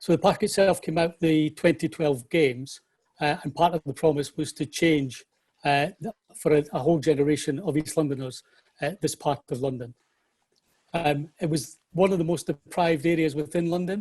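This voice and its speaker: Music plays behind a man whose pitch is fairly high and whose intonation stays fairly even. The sound is dry and close, with no echo. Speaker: parks executive. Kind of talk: webinar presentation. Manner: fast.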